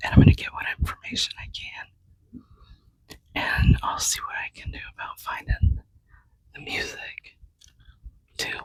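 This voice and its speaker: The speaker whispers at a fairly slow pace, leaving long, frequent pauses. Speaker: genealogy podcast host. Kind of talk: casual vlog narration. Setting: library. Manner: quiet.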